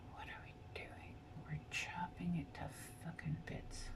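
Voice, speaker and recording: A woman is whispering. Audible room echo and noticeable background noise surround her. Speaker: vlogger. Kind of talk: casual talk to camera. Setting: at home in front of a mirror. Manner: soft-spoken. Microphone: may be too quiet.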